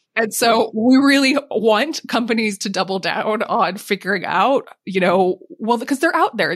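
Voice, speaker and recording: A woman with an American accent speaks at a moderate pace in an unremarkable speaking voice, with ordinary pitch variation. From US, Montana. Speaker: sustainability executive. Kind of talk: interview.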